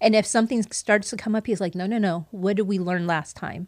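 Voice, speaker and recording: Speaking at a fairly quick pace with fairly even intonation, a woman has medium pitch and an ordinary speaking voice, heard dry and close with no echo in a very clean recording with a silent background. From Puerto Rican heritage, US. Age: 50s. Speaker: best-selling author and entrepreneur. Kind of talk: casual interview.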